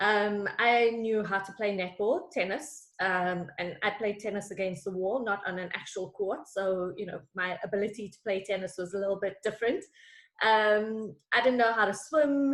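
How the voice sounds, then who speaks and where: In a South African accent, a woman speaks at a moderate pace and medium pitch with ordinary pitch variation. Her loudness swings widely. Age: 40s. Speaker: executive coach. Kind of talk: interview.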